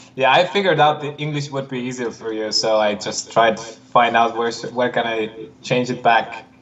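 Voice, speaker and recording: Over noticeable background noise, a man speaks at a moderate pace in a medium pitch with ordinary pitch variation. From Estonia. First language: Estonian. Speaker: disc golf player. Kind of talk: casual livestream chat. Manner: halting.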